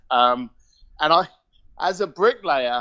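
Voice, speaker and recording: A man speaks with a London accent and lively intonation. His pace is fairly slow. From southern England, Reading and East London. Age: 50s. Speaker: entrepreneur. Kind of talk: interview storytelling. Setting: call.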